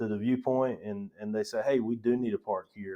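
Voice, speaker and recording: Over a quiet background, a man with a North Carolina accent and medium pitch speaks at a moderate pace. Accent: local North Carolina. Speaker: county parks director. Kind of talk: podcast interview.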